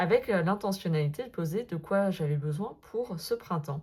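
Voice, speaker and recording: On a very clean recording with a silent background, a woman's somewhat breathy voice sits at medium pitch with ordinary pitch variation. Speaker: sophrologist and tarot content creator. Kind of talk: casual vlog monologue. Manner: hesitant, many fillers.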